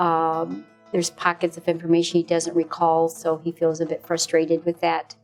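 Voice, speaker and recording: Over music in the background, a woman with a fairly low-pitched voice speaks at a moderate pace in a monotone, flat intonation. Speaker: wife and caregiver of a stroke patient. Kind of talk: interview answer.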